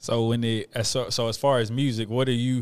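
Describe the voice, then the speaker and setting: In a very clean recording with a silent background, a man talks at a moderate pace and medium pitch in an unremarkable speaking voice. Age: 30s. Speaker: podcast host. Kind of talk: casual chat.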